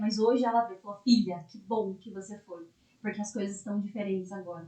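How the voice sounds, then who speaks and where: Fairly quick speech from a woman, medium in pitch and fairly even in intonation. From interior of São Paulo state, Brazil (Itapeva). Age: 20s. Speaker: lawyer. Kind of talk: podcast interview, personal story.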